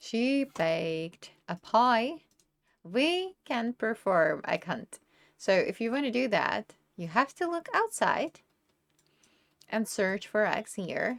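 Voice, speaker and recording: In a Czech accent, a woman speaks at a very slow pace with long, frequent pauses, a fairly high pitch and very wide pitch swings. The recording is very clean and dry, close with no echo and a silent background. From Czech Republic. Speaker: gaming YouTuber. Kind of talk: tutorial. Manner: casual, conversational.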